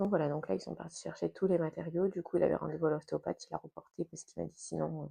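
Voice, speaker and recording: A soft-spoken woman talks at a very fast pace with hardly any pauses, her loudness swinging widely in a dry, close sound with no echo. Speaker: lifestyle vlogger and school support assistant. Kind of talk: casual vlog talk to camera. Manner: soft-spoken, keeping voice low.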